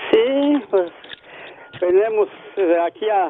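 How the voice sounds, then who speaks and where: Noticeable background noise sits behind a man speaking in a high pitch. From Mexico, Guanajuato. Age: old. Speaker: retired farmworker. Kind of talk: phone-in chat.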